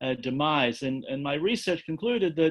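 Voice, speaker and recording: A man speaks with an Australian accent at a fairly high pitch. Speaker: environmental peace organization director. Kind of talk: talk to online audience. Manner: halting, many fillers.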